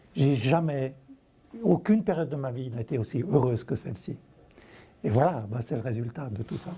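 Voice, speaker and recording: Lively intonation marks a man speaking at a medium pitch and moderate pace. He leaves long, frequent pauses. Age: 60s. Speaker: author. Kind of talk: TV interview.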